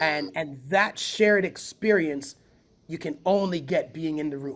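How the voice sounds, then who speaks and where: With an ordinary speaking voice, a man talks at a fairly slow pace, his fairly high pitch showing ordinary variation. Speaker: spoken word poet and event founder. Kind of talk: podcast interview answer.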